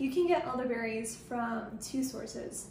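A woman speaks at a moderate pace with audible room echo and noticeable background noise. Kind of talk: tutorial. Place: kitchen. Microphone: phone near.

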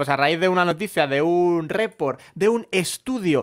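A man with a Madrid accent talks at a fairly high pitch. His intonation is lively against a quiet background. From Madrid, Spain; Spain. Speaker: comedy podcast co-host. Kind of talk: casual comedic chat. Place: home room. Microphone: studio mic.

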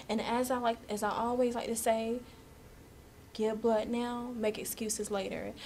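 A woman's somewhat breathy voice stays monotone and flat in intonation over light background noise. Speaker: student interviewer. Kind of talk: interview introduction to camera. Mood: earnest, later playful laughing. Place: office. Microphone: camera far.

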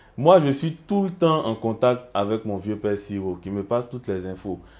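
In a dark, mellow tone, a man of medium pitch speaks at a moderate pace with lively intonation. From Côte d'Ivoire. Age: young. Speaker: musician; guest. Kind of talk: casual interview. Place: studio. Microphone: lapel.

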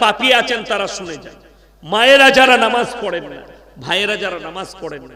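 Raising and projecting his voice, a man with a high pitch speaks in an animated tone with lively intonation, as audible room echo fills the space. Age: 30s. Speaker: Islamic preacher. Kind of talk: sermon. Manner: animated, calls on crowd to respond.

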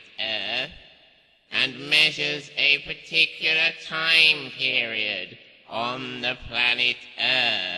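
Intonation stays lively even though the delivery is very slow. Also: man. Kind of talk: fantasy villain acting. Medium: audio drama. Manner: impatient; menacing, commanding, solemn.

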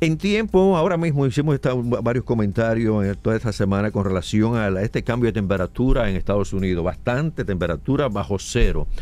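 Lively intonation marks this man's plain, everyday voice, delivered at a fairly quick pace. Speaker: radio host. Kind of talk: radio interview with call-ins.

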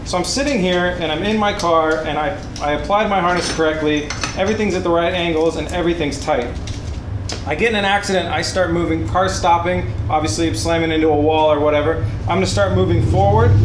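A man rushes through his words at a very fast pace amid noticeable background noise. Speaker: car build channel host. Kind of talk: tutorial. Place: garage.

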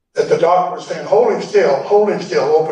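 Fairly even intonation from a male speaker, with room echo clearly audible. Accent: American. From Oregon. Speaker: land patent teacher, Vietnam veteran. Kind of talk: lecture. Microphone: audio cleaned up, originally poor.

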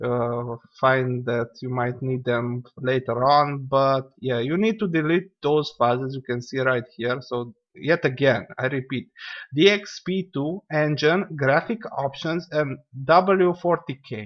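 A man speaks with a non-native accent. His pace is very slow. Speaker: gaming YouTuber. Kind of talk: tutorial. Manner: casual, lots of fillers; rambling.

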